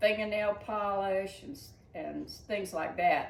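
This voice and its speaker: In a Southern US accent, a woman speaks at a very slow pace. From Georgia, USA. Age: 80s+. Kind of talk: interview answer.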